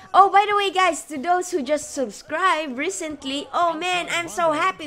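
Against noticeable background noise, a raised, projected voice moves at a fairly slow pace with ordinary pitch variation. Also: woman. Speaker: gaming YouTuber. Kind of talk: casual let's play commentary. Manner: rambling, hesitant with fillers.

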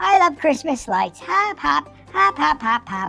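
A woman's cartoonish character voice, high-pitched, with a bright, sharp tone, vocal fry, big pitch swings, a fairly slow pace and faint music in the background.

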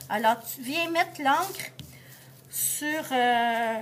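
A woman's high pitch with very wide pitch swings, over light background noise. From Quebec. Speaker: art teacher. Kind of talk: tutorial. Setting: classroom. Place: classroom. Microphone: phone near.

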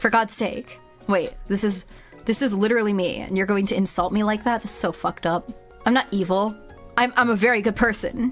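Over clear music in the background, a woman puts on a whiny character voice at a medium pitch and a moderate pace. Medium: virtual streamer. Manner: indignant, whiny, comically offended.

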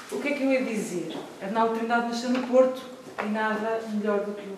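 A woman at a moderate pace with fairly even intonation, amid audible room echo and noticeable background noise. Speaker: event presenter. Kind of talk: welcoming introduction. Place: hall. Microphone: camera far.

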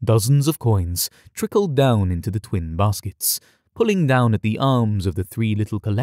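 Lively intonation in an unforced reading voice, set against a quiet background

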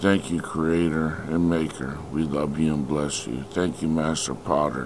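Through noticeable background noise, a man with a very deep, low pitch speaks at a fairly slow pace in monotone, flat intonation. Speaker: prayer leader. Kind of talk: fervent prayer. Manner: fervent, declarative; repetitive, rhythmic.

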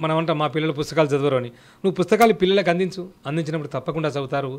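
A man talks in a fairly high pitch with ordinary pitch variation. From Telangana, Sircilla; Telangana. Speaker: children's author and poet; poet. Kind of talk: interview. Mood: earnest, advisory. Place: home room. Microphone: handheld.

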